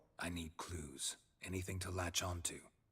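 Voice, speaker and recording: Growling in a very deep, low pitch, a man performs a put-on character voice at a moderate pace. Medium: video game. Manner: terse, low, deadpan.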